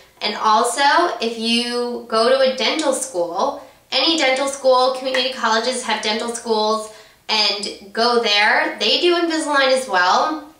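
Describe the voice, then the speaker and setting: Noticeable background noise sits behind a woman's high voice. She speaks fairly slowly with ordinary pitch variation. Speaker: beauty vlogger. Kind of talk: casual vlog tutorial.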